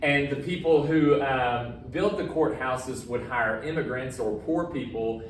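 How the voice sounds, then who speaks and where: A man at a fairly high pitch and a fairly slow pace, with audible room echo and noticeable background noise. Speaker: high school history teacher. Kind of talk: recorded lecture. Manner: casual, filler-heavy.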